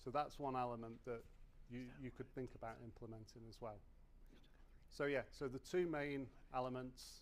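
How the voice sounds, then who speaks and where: Long, frequent pauses break up this man's speech, delivered at a medium pitch in a British accent with audible room echo. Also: fairly even intonation, moderate pace. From UK. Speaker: conference speaker, tooling sales manager. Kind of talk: conference talk.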